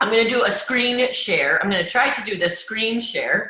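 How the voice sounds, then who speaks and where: A woman's voice comes with audible room echo. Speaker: direct sales team leader. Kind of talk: video call training. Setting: video call. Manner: fast.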